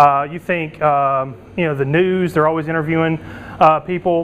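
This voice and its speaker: This is a man speaking. His pace is fairly quick. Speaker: internet entrepreneur and conference speaker. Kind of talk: conference presentation. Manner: fast.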